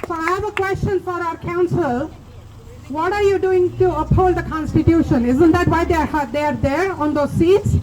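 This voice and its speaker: Over noticeable background noise, a woman speaks at a moderate pace with an extremely high pitch. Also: ordinary pitch variation. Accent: non-native. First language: not English. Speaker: community speaker at vigil. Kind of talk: public speech at protest vigil. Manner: impassioned.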